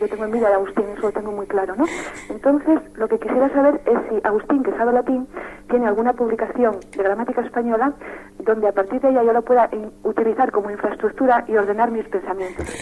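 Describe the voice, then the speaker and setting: A woman talks at a very fast pace with a fairly high pitch. Her pitch varies in an ordinary way over noticeable background noise. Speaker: radio caller. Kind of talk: call-in question. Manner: soft-spoken; hesitant.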